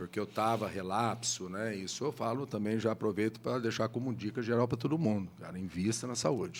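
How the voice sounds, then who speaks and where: Speaking at a fairly quick pace with hardly any pauses, a man keeps a medium pitch and ordinary pitch variation. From Brazil, Taubaté, Vale do Paraíba (São Paulo state). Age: 60s. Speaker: city urban planning official. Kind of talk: casual interview chat. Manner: energetic, talkative.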